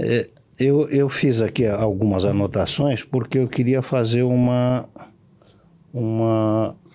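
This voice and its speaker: A man with a medium-pitched voice speaks at a very slow pace, leaving long, frequent pauses, his intonation fairly even and his loudness very even. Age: 70s. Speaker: law professor. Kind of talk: podcast interview.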